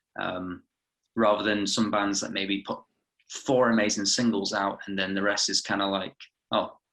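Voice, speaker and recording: A man talks at a moderate pace in a fairly low voice. His intonation stays flat and monotone. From England-born, raised in Glasgow, Scotland. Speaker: rock band musician. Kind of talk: interview.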